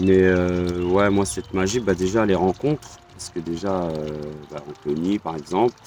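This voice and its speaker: A man talks with a very deep, low pitch. Noticeable background noise runs under his voice. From Normandy, France (Le Havre). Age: 40s. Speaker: pilgrim, army veteran. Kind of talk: interview testimony. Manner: halting.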